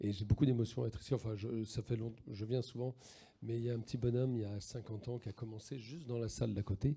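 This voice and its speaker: Very fast speech comes from a man with a medium pitch. His tone is dark and mellow, with fairly even intonation. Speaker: chef and restaurant owner. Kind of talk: panel discussion. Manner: loud, projecting voice.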